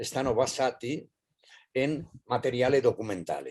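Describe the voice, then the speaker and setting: Very slowly, a man with a fairly high pitch speaks. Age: 80s+. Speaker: playwright. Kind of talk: panel discussion. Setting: video call. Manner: halting.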